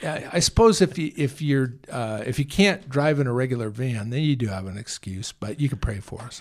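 A man with an American accent, a medium pitch and a plain, everyday voice, talking at a fairly quick pace with lively intonation and hardly any pauses. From San Francisco area, California. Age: 60s. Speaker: homeless mission director. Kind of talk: casual interview. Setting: studio.

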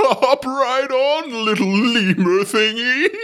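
Delivered at a very slow pace, this put-on character voice sits at a fairly high pitch. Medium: actual play. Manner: casual, easygoing.

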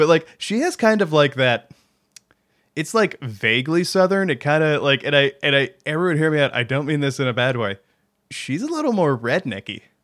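An unremarkable speaking voice, a man's, fairly high in pitch, fairly quick, with lively intonation. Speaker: podcast co-host. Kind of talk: casual chat about game lore.

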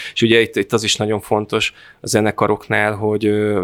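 A man speaks in a fairly low, monotone, flat voice at a moderate pace. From north-western Hungary, Fertőszentmiklós near Sopron. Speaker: festival organizer and cultural project manager. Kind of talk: interview.

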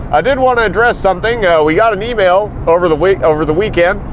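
Over noticeable background noise, a man with a high pitch talks very fast with lively intonation. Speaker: wrestling podcast host. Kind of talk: casual podcast monologue, comedic. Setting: in a truck. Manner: animated, jokey.

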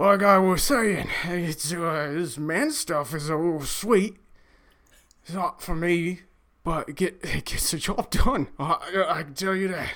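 A man uses a put-on character voice at a high pitch. He speaks at a fairly slow pace. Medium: actual play. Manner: gruff, bickering.

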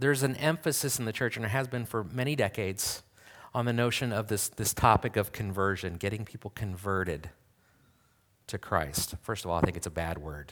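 A man with an unremarkable speaking voice speaks at a fairly quick pace, with a fairly low pitch and lively intonation. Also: very clean recording, silent background. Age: 40s. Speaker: pastor. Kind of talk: sermon.

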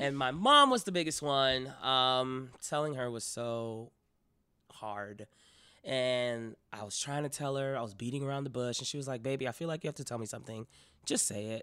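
Speaking with an American accent, a man keeps a medium pitch and a moderate pace. His tone is bright and sharp, with ordinary pitch variation. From Miami, Florida. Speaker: actor and comedian. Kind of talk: casual interview chat.

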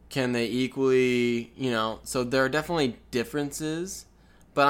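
In a very clean recording with a silent background, a man of medium pitch talks at a moderate pace in a plain, everyday voice with ordinary pitch variation. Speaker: podcast co-host. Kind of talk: casual chat. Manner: playful banter.

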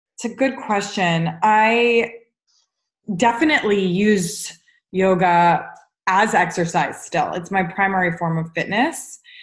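A woman speaks in an American accent with an unremarkable speaking voice at medium pitch. Her pace is fairly slow, and her pitch variation is ordinary. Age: 30s. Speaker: yoga teacher and therapist. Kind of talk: interview.

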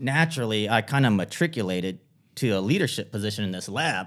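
A man with an unremarkable speaking voice, fairly low in pitch, lively in intonation and fairly quick, on a very clean recording with a silent background. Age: 40s. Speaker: lawyer and marketing consultant. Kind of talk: podcast interview.

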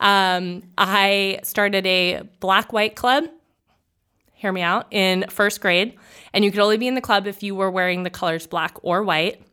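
In a very clean recording with a silent background, a woman of medium pitch speaks fairly slowly with a bright, sharp tone and fairly even intonation. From New Hampshire, Nashua area. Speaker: flower shop owner. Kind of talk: casual interview.

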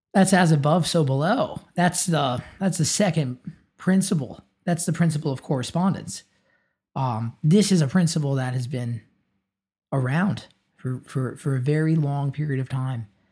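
With ordinary pitch variation, a man talks in a somewhat breathy voice. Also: moderate pace. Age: 20s. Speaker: guitarist. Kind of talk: casual interview. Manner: halting.

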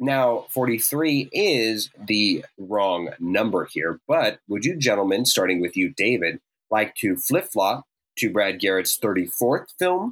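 Talking at a very slow pace, a man lets his pitch swing very widely, recorded with a dry, close sound and no echo. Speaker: podcast co-host. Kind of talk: casual chat.

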